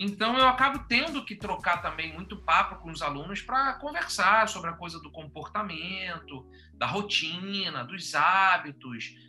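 At a fairly slow pace, a man with a high voice speaks in a bright, sharp, animated tone with lively intonation. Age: 40s. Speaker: podcast host and teacher. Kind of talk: casual chat.

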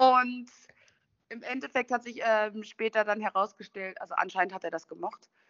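A woman with a normal speaking voice talks at a moderate pace with a fairly high pitch. Her pitch varies in an ordinary way, while her loudness swings widely. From western Germany, Düsseldorf/Duisburg. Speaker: van lifer. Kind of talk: casual chat.

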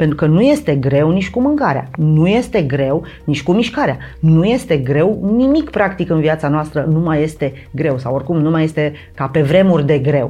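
Over noticeable background noise, a woman speaks at a very deep, low pitch with very even loudness. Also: lively intonation, moderate pace. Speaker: mental training instructor and meditation creator. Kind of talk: casual chat. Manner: halting.

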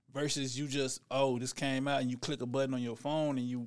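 A man with an American accent and an unremarkable speaking voice talks at a fairly quick pace at medium pitch. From Dallas, Texas. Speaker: rapper. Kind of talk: casual interview.

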